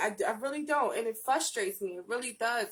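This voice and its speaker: A woman's animated, excited voice with very wide pitch swings. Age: 20s. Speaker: YouTube talk show host. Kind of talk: solo vlog monologue. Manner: slight nervous stutter.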